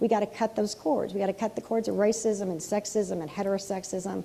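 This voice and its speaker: Speaking at a very fast pace, a woman uses a medium pitch, a dark, mellow tone and vocal fry. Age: 60s. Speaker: pastor. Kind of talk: sermon. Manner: casual, conversational; animated.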